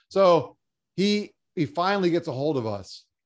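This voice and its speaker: Animated and with lively intonation, a man speaks in an American accent. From South Florida. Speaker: cancer survivor and motivational speaker. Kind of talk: interview.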